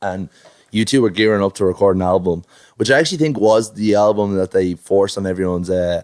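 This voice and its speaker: Words pour out at a very fast pace, with ordinary pitch variation throughout. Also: man, fairly low pitch for a man. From Ireland, Dublin (Finglas, North Side). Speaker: musician. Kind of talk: casual chat. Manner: animated.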